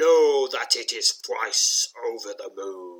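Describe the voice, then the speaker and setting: A rumbling put-on character voice moves at a fairly slow pace. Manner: booming, ominous.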